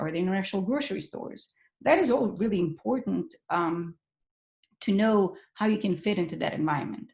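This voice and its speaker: A woman speaks at a fairly quick pace with a medium pitch. Her voice is somewhat breathy, with lively intonation. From Bosnia (Sarajevo). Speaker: professor. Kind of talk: webinar presentation. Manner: fast.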